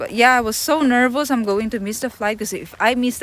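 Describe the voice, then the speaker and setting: A woman with a Filipino accent, fairly quick in pace, over noticeable background noise. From Philippines. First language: Tagalog. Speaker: travel livestreamer. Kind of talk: casual storytelling on livestream. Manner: loud; animated.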